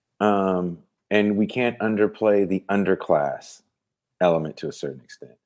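A man with an American accent has a fairly low pitch and an ordinary speaking voice. His pitch varies in an ordinary way, while his loudness swings widely. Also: moderate pace. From San Francisco Bay Area, California. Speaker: podcaster and metal band singer. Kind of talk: casual interview.

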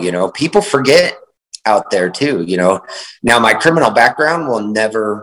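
A man with a plain, everyday voice, medium in pitch, with lively intonation. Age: 40s. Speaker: author and entrepreneur. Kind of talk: casual interview.

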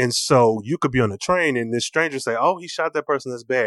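A man talks at a very fast pace and a medium pitch, with ordinary pitch variation. The sound is dry and close with no echo, against a quiet background. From Michigan. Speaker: podcaster. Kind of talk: casual chat.

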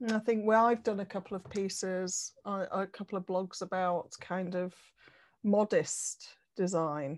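In a British accent, a woman of medium pitch talks at a fairly slow pace. Her intonation is fairly even, and the background is quiet. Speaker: podcast host. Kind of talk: casual interview.

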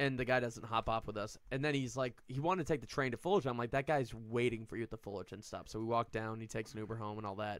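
Speaking very fast, a man with an American accent has a bright, sharp tone. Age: 30s. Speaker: comedian. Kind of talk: casual chat.

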